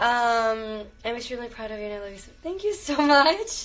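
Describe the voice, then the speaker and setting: A woman with a plain, everyday voice talks in an American accent at a moderate pace. Her pitch is fairly high and her intonation lively. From Miami, Florida (born Venezuela, Cuban parents). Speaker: actress. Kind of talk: livestream casual chat. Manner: casual, filler-heavy.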